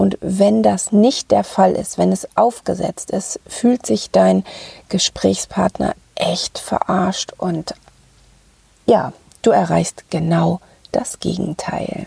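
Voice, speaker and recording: At a very slow pace with long, frequent pauses, a woman speaks in a dry, close sound with no echo. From Ruhr area, Germany. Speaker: podcast host, sales psychology coach. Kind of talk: solo podcast talk.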